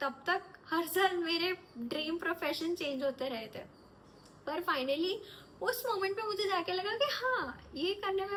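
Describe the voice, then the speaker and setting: With lively intonation, a woman speaks. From north India, Delhi and Nagpur. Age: 20s. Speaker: actor. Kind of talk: self-introduction monologue. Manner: casual, conversational.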